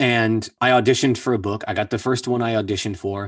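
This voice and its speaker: In an ordinary speaking voice, a man talks at a fairly quick pace and medium pitch with fairly even intonation against a quiet background. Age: 30s. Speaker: voice actor. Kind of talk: casual chat.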